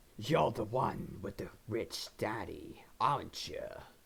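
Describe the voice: Raspy and menacing in tone, a man puts on a character voice at a medium pitch and a fairly slow pace.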